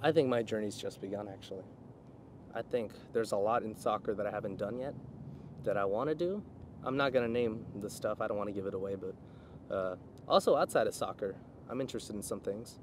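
Speaking at a very fast pace with ordinary pitch variation, a man is heard over light background noise, the sound dry with no echo. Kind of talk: interview answer. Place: open country.

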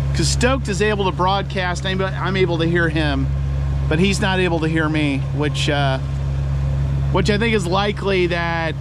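The speech moves at a moderate pace with a dry sound and no echo. Loud background noise runs underneath. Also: man. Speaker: solo sailor vlogger. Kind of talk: casual vlog chat. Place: boat. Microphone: phone near.

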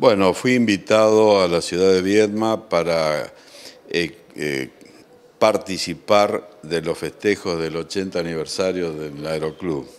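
Very slowly, a man talks in a very deep, low voice. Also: ordinary pitch variation. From Argentina. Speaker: war veteran, retired fighter pilot. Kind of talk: interview. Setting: legislature building. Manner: hesitant with fillers. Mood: calm, humble, reflective. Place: office. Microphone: handheld.

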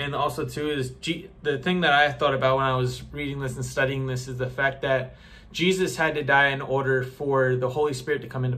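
A man with a medium pitch speaks at a fairly quick pace in a monotone, flat intonation. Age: 20s. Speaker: youtuber sharing bible teaching. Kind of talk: casual bible teaching monologue. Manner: casual with false starts. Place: home room. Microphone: phone near.

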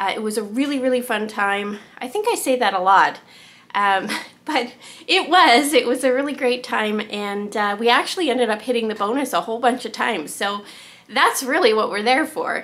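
Her pitch high and her intonation lively, a woman speaks at a moderate pace. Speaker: vlogger. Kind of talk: casual vlog chat. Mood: cheerful, upbeat. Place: home room. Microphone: phone near.

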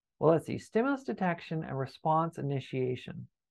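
A Canadian accent with very wide pitch swings. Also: man, quiet background. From Canada. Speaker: university lecturer. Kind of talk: lecture. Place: home room. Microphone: webcam.

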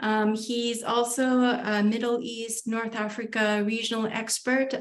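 Here a woman talks at a fairly slow pace. Her delivery is monotone and flat. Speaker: host of an academic webinar. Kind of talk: lecture introduction. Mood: warm, respectful. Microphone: video call.

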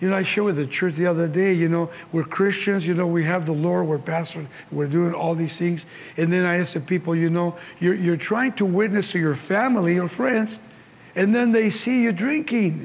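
A man with a Mexican accent speaks at a high pitch. His loudness stays very even. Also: ordinary pitch variation, fairly quick pace. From Mexico. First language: Spanish. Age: 70s. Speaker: pastor. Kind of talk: sermon. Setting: stage with audience. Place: hall.

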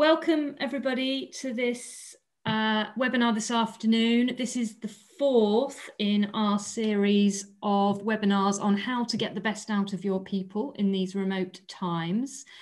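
A woman speaks at a fairly slow pace, somewhat breathy, with ordinary pitch variation over a quiet background. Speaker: webinar host, employment lawyer. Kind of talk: webinar introduction. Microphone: video call.

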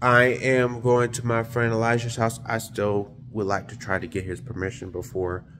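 A man talks at a moderate pace with fairly even intonation. His pitch is fairly low, and there is light background noise. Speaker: vlogger. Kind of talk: casual vlog chat. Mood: sincere, somber. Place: home room. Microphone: phone near.

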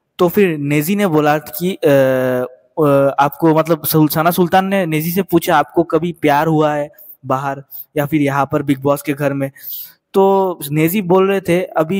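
In a quiet background, a man talks at a fairly slow pace with fairly even intonation. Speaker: show news commentator. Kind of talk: commentary.

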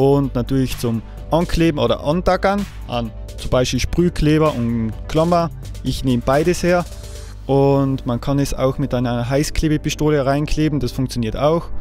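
With a slight Austrian accent, a man speaks at a moderate pace over faint background music, the sound dry with no echo. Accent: light Austrian dialect. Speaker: woodcarver, sculptor. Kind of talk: tutorial talk to camera. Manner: casual, hesitant with fillers. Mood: relaxed, casual.

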